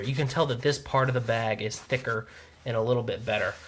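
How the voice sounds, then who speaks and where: A medium-pitched man talks with a Southern US accent. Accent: southern drawl. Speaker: product reviewer. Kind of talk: product review. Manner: fast; filler-heavy, says um a lot.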